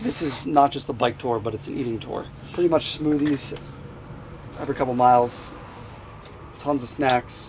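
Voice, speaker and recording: This man has an American accent and a medium pitch with ordinary pitch variation, speaking at a moderate pace. Long, frequent pauses break up his speech, and noticeable background noise runs underneath. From Philadelphia, Pennsylvania. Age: 20s. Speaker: vlogger and endurance athlete. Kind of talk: vlog narration.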